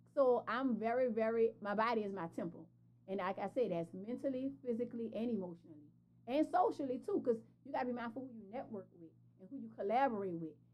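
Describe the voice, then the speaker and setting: With a New Orleans accent, a woman talks at a very fast pace in an animated tone, her lively intonation sitting at a fairly high pitch. Big swings in loudness stand out over noticeable background noise. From New Orleans, Louisiana. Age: 40s. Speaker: entrepreneur and fashion brand founder. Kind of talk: podcast interview.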